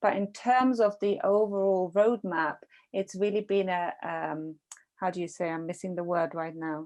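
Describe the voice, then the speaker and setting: A woman with a non-native accent speaks at medium pitch and a moderate pace. Her pitch variation is ordinary, and the background is quiet. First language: not English. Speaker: podcast interviewer. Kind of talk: interview. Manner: halting.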